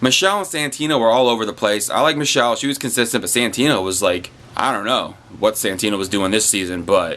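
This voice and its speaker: Over noticeable background noise, a man talks at a very fast pace with lively intonation and a medium pitch. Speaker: YouTube reviewer. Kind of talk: casual video commentary. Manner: animated.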